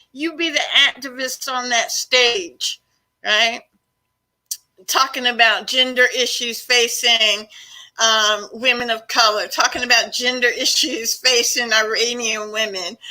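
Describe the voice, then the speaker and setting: An animated, bright, sharp tone at a fairly slow pace with ordinary pitch variation. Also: woman, high pitch for a woman. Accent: American. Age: 60s. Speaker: activist. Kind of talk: interview.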